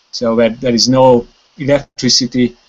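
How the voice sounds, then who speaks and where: A man speaks very slowly with a Hungarian accent. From Hungary. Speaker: wilderness conservation chairman; guest. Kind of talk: casual chat. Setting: video call. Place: home room. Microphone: video call.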